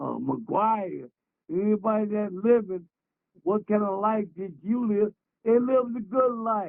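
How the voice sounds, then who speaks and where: At a fairly slow pace, a man speaks with a high pitch and fairly even intonation. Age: 70s. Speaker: former pro baseball player. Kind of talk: casual interview.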